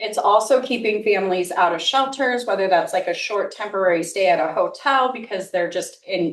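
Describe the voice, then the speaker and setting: A fairly high-pitched woman at a moderate pace, with ordinary pitch variation. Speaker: nonprofit executive director. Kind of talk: informal presentation.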